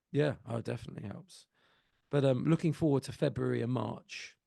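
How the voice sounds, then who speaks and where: A man speaks at a medium pitch with vocal fry. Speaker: singer and musician. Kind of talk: casual chat.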